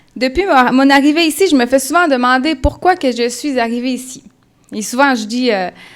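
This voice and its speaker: A woman's high-pitched voice with a slight Colombian accent. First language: Spanish (speaking French). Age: 20s. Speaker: church member giving testimony. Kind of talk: testimony. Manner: halting.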